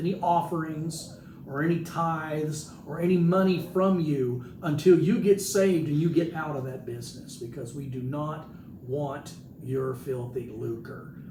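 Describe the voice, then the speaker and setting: Recorded with audible room echo, a man speaks at a fairly high pitch with ordinary pitch variation. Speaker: pastor. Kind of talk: sermon. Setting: hospital room, live stream. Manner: loud.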